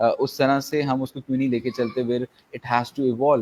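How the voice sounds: Speaking at a very fast pace, a man uses a slightly mellow tone with little pitch movement. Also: medium pitch for a man.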